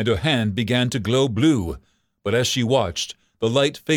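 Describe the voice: This is plain reading aloud with ordinary pitch variation. The background stays quiet.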